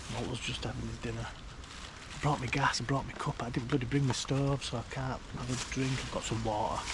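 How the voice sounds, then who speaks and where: A man speaks at a fairly quick pace, with noticeable background noise and audible room echo. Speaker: outdoor vlogger. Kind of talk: casual vlog narration. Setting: outdoors in woodland at dusk. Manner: hesitant, halting; whispering.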